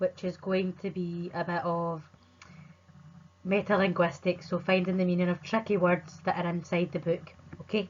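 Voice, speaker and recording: A woman with a Scottish accent at a moderate pace, fairly low in pitch, monotone and flat in intonation. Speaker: primary school teacher. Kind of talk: remote lesson for children. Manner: clear, friendly teacher talk.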